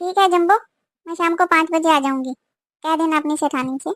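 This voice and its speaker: In a put-on character voice, a woman talks fairly quickly in an extremely high, squeaky pitch with fairly even intonation. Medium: cartoon.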